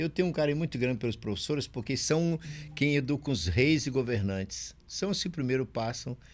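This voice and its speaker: The recording is very clean, with a silent background. A man with a normal speaking voice and medium pitch talks at a fairly quick pace with lively intonation. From Brazil, Maranhão (São Luís). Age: 60s. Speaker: pastor and chaplain. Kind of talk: podcast interview.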